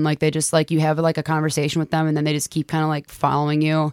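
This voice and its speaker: A woman speaks at a very deep, low pitch. The recording is very clean and silent behind her, with a dry, close sound and no echo. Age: 20s. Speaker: podcast co-host. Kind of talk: casual chat.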